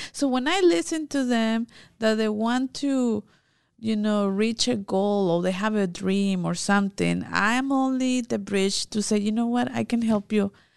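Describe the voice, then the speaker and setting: In a Mexican accent, a woman speaks at a fairly slow pace with a fairly high pitch and very even loudness, in a dry, close sound with no echo over a quiet background. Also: ordinary pitch variation. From Mexico. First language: Spanish. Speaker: immigration legal expert. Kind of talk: casual chat.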